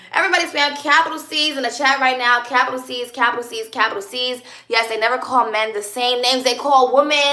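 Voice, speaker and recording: A woman talks at a very fast pace with a high pitch. Noticeable background noise can be heard. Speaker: live streamer. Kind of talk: live stream chat with viewers. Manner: loud, energetic.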